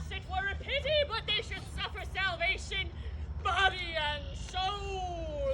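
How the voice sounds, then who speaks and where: Moving at a fairly slow pace, the put-on character voice sits at an extremely high pitch. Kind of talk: Shakespearean stage comedy. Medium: stage play. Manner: agreeable, deferential.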